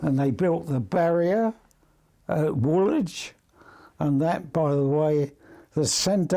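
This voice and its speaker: A man with a London accent has a fairly high pitch, ordinary pitch variation, and a dark, mellow tone. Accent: English, London area. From England. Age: 90s. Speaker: retired seaman, club founder. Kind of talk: interview. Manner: halting.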